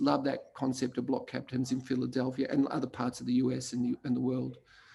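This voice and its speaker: The voice has a dark, mellow tone with vocal fry and runs on with hardly any pauses. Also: man. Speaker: placemaking consultant. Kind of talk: conference talk.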